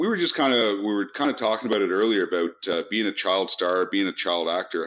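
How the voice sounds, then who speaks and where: Against a quiet background, a man with a Canadian accent talks at a very fast pace. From Canada, Toronto. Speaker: podcast host. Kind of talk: interview. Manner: halting.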